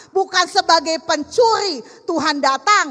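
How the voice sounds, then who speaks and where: At a moderate pace, a woman projects a raised voice with a bright, sharp and animated tone. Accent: Jakarta. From Jakarta, Indonesia (Betawi). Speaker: preacher. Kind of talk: sermon. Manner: forceful, blunt delivery.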